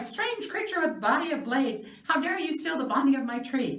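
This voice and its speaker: A shrill, put-on character voice moves at a moderate pace. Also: woman, high pitch for a woman. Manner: indignant, scolding.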